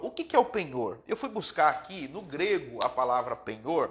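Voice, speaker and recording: The voice moves through very wide pitch swings at a moderate pace. Noticeable background noise runs underneath. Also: man. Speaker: preacher. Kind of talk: sermon. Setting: live stream.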